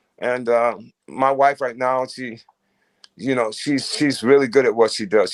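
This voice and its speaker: A man with an American accent, medium pitch and a fairly slow pace. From Ohio, US Midwest. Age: 60s. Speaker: musician. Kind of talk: casual interview chat. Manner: halting, repeats words.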